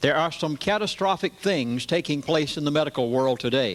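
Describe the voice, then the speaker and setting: Talking at a moderate pace, a man with a plain, everyday voice uses lively intonation at a fairly high pitch. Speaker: pastor. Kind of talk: lecture to a live audience.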